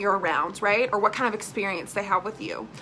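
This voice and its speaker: The voice is loud and animated against noticeable background noise. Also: woman. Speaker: direct sales team leader. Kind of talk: live training video. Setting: live stream. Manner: casual, animated.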